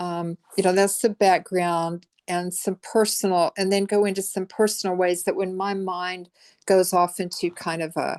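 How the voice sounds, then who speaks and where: In a dry, close sound with no echo and a quiet background, a woman speaks at a moderate pace and medium pitch with monotone, flat intonation. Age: 60s. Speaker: Buddhist meditation teacher. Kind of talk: dharma talk. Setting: video call. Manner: halting.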